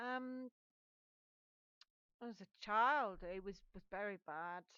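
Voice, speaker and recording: A woman with an English accent speaks at medium pitch in a bright, sharp tone with ordinary pitch variation, the sound dry and close with no echo. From England. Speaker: gaming YouTuber. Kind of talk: voiceover of a game build video. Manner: halting, repeated words.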